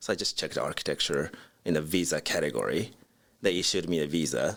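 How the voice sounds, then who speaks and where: A man with a Japanese accent talks at a very fast pace with very even loudness. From Japan, Osaka. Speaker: architect, design firm CEO. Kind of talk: interview.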